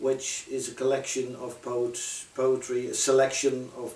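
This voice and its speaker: The speaker has a Dutch accent and a fairly slow pace. There is audible room echo along with noticeable background noise. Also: man. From Netherlands. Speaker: poet and translator. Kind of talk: casual talk about own work. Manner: halting, many fillers.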